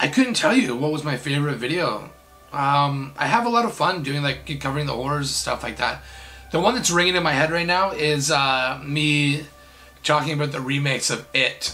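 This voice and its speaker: A man at a moderate pace, with ordinary pitch variation and faint music in the background. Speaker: YouTube creator. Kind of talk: casual vlog chat, Q&A answers. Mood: relaxed, friendly. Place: home room.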